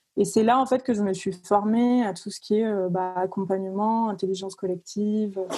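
A woman speaks at a moderate pace with hardly any pauses, her tone dark and mellow. Her intonation stays fairly even while her loudness swings widely. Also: medium pitch for a woman. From southern France, Cavaillon near Avignon. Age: 20s. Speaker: music industry professional. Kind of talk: casual interview.

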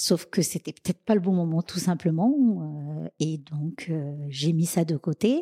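A woman speaks in a fairly low voice with a dark, mellow tone and ordinary pitch variation. The recording is very clean and dry, close with no echo, and the background is silent. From Madagascar, then Réunion from age 11. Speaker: chef and caterer. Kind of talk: interview.

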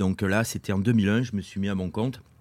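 A man with a fairly low pitch and fairly even intonation speaks at a moderate pace in a very clean recording with a silent background. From Corrèze, France. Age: 50s. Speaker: sports retailer and race organizer. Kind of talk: casual interview. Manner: hesitant, many fillers.

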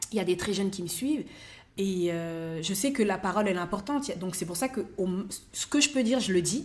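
A woman speaks at a fairly quick pace in a medium-pitched, somewhat breathy voice. Her intonation is lively. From France. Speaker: comedian and actress. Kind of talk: casual interview chat. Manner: hesitant, with many fillers.

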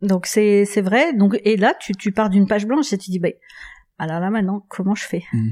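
Dark, mellow tone from a woman at medium pitch, with ordinary pitch variation and a moderate pace. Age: 50s. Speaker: hotel and restaurant entrepreneur. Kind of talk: interview.

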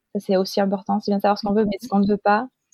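Her voice is pitched in the middle range. The speaker is a woman. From Marseille, southern France. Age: 20s. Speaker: cabaret dancer. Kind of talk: interview conversation. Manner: hesitant, many fillers.

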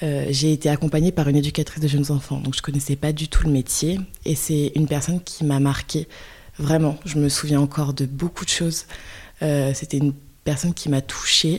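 A woman with a very deep, low pitch speaks at a moderate pace in a monotone, flat way, sounding somewhat breathy. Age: 20s. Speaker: early childhood educator. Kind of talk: interview. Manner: halting.

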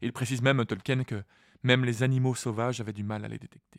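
A man talks in a calm tone at medium pitch. His intonation stays fairly even. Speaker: podcast host and reader. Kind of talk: literary audiobook reading of the chapter, with commentary. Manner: calm, measured, storytelling narration.

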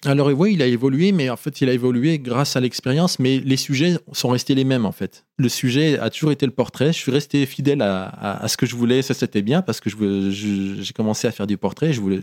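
The delivery runs at a fairly quick pace with hardly any pauses. The recording is very clean, with a silent background and a dry, close sound that has no echo. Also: man, medium pitch for a man, ordinary pitch variation. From France, Oyonnax (Ain), born in Morocco. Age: 50s. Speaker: photographer. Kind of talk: interview. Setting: studio. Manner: halting.

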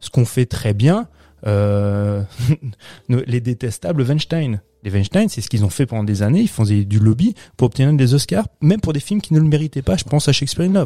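On a very clean recording with a silent background and dry, close sound with no echo, a man with a regional French accent speaks at a medium pitch and moderate pace, his dark, mellow tone moving through very wide pitch swings. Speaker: podcast co-host, film critic. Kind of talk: casual chat.

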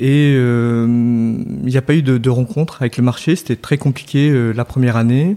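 This man's voice sits at a medium pitch with ordinary pitch variation. He goes at a fairly slow pace, and his loudness stays very even. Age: 30s. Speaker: entrepreneur, co-founder of a soap shop. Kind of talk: interview conversation. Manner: hesitant, many fillers and repetitions.

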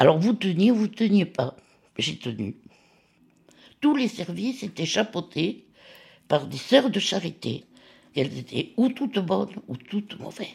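Speaking at a fairly slow pace with long, frequent pauses, a woman uses a medium pitch with very wide pitch swings and vocal fry. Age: 80s+. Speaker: retired nurse and lab technician. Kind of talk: personal testimony.

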